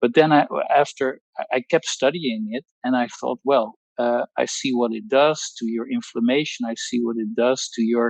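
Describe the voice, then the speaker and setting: At a fairly slow pace and medium pitch, a man with a Dutch accent speaks in a dry, close sound with no echo. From Netherlands. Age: 60s. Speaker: pharmacologist. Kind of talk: testimony. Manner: halting.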